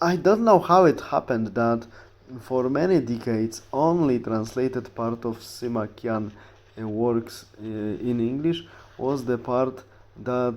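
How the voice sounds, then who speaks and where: With a Polish accent, a man speaks at a fairly slow pace, his medium pitch showing ordinary variation. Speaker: history YouTuber. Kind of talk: casual talk to camera. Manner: halting with fillers.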